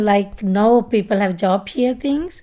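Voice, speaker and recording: A dark, mellow tone in a Pakistani Punjabi accent, with ordinary pitch variation. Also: woman. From Punjab, Pakistan. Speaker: retired project manager. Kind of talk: oral history interview answer.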